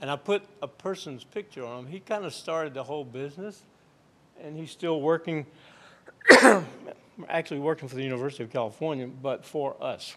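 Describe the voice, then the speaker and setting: Speaking with a Virginia accent, a man uses a fairly high pitch, ordinary pitch variation and a moderate pace. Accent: Virginia lilt. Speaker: aeronautical research engineer. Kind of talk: lecture presentation.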